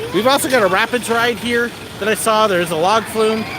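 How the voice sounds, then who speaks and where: Through noticeable background noise, a man with a high pitch talks in a raised, projected voice at a fairly quick pace with lively intonation. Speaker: theme park vlogger, former park worker. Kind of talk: live stream walking tour. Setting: outdoors at an amusement park. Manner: animated.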